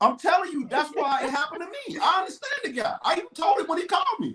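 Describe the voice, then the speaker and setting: Speaking at a fairly quick pace, a man uses a raised, projected voice with very wide pitch swings. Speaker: guest on talk show. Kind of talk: casual chat.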